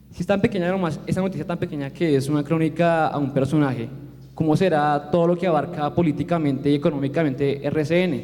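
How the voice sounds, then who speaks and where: A man talks at a very fast pace, his pitch fairly high and his intonation fairly even. Noticeable background noise sits behind him. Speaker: university student. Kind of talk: audience question. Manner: halting.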